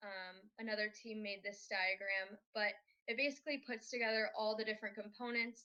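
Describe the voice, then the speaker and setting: Moderate pace and fairly even intonation in an unremarkable speaking voice with an American accent. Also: woman. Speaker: robotics team student presenter. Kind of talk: conference presentation.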